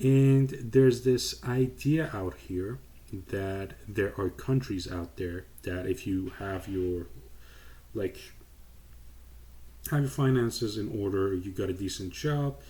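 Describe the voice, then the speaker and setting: Speaking very slowly with long, frequent pauses, a man with a Persian accent has a fairly low pitch. His voice is somewhat breathy, and his intonation is lively. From Iran. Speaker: YouTuber. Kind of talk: casual commentary vlog.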